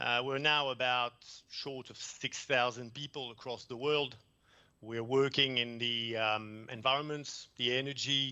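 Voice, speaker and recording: A man with a French accent speaks fairly slowly at medium pitch, in a bright, sharp tone. His intonation is monotone and flat, while his loudness swings widely. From France. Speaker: environmental consultant presenter. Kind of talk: conference presentation. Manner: hesitant, many fillers.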